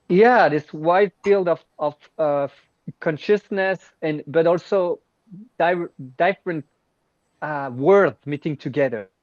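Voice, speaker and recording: In dry, close sound with no echo, a man speaks at a very slow pace with long, frequent pauses, using a high pitch with ordinary variation. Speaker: workshop participant. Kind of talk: group exercise. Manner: halting.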